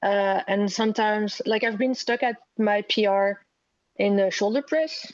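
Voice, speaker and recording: Speaking at a moderate pace with a French accent, a woman keeps her loudness very even, her pitch fairly high and its variation ordinary, against a quiet background. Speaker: gym member. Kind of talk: asking a question on a call. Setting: video call.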